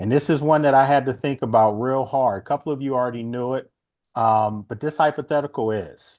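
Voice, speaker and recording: A plain, everyday voice of a man with an American accent, medium in pitch, at a moderate pace with ordinary pitch variation, over a quiet background. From Washington, DC. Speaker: sports radio host and NFL analyst. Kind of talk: sports talk show with fan call-ins.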